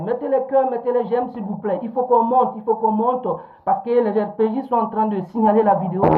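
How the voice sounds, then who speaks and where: Animated, fairly quick speech over noticeable background noise. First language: Fula (Pular) (speaking French). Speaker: political activist livestreamer. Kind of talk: live-stream political commentary. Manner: animated, repetitive.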